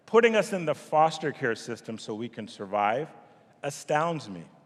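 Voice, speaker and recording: A man with a Montreal accent talks at a moderate pace, his fairly high pitch making very wide swings. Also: very clean recording, silent background. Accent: Canadian English, Montreal. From Montreal, Quebec, Canada. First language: French. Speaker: nonprofit CEO. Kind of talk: speech to event audience. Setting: stage with audience.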